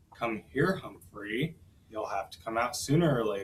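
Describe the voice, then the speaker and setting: Putting on a character voice, a man speaks at a moderate pace and medium pitch with lively intonation. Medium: read story.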